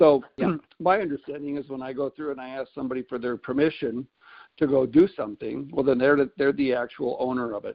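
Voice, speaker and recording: A man speaks at a very fast pace with medium pitch, ordinary pitch variation and big swings in loudness. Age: 60s. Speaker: caller. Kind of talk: casual discussion. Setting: conference call.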